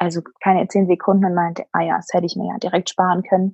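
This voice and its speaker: In a dry, close recording with no echo, a woman speaks at a moderate pace in a somewhat breathy voice. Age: 20s. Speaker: bereaved mother. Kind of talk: personal testimony interview.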